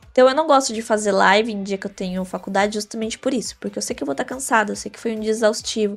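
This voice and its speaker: A woman at a fairly high pitch with ordinary pitch variation, music in the background. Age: 20s. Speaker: medical student and gaming influencer. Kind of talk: interview.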